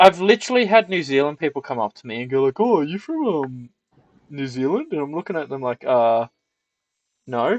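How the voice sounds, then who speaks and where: A man's fairly high voice in an Australian accent, fairly quick, with very wide pitch swings and big swings in loudness, dry and close with no echo. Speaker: streamer. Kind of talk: casual chat. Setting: live stream.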